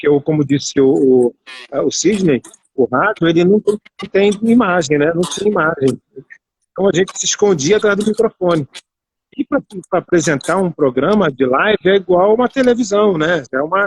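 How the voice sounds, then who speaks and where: Recorded dry and close with no echo, a man with a high pitch speaks with lively intonation. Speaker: radio broadcaster and journalist. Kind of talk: live online interview. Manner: fast.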